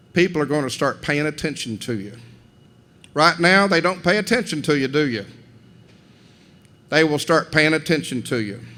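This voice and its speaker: With a Southern US accent, a man talks at a moderate pace in a fairly high, bright, sharp voice, using lively intonation and long, frequent pauses. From Tennessee, Cleveland. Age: 60s. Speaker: commencement speaker. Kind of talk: commencement speech. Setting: gymnasium with audience. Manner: folksy, conversational.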